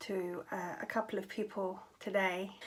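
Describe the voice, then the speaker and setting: A woman talks with a British accent. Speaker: vlogger with chronic fatigue syndrome. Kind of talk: casual vlog talk. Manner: hesitant, many fillers.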